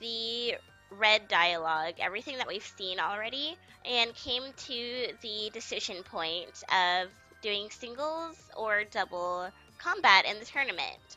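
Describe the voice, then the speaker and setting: Over music in the background, a woman with a fairly high pitch speaks at a very slow pace with lively intonation. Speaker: let's play gamer. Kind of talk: casual gameplay commentary.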